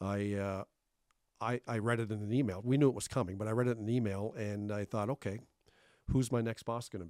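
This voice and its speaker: A man with a Canadian accent and a normal speaking voice, fairly low in pitch, at a fairly quick pace with fairly even intonation and big swings in loudness, in a dry, close, echo-free sound on a very clean recording with a silent background. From Thunder Bay, northwestern Ontario, Canada (from Cape Breton as young teen). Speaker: retiring city manager. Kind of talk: interview. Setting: studio.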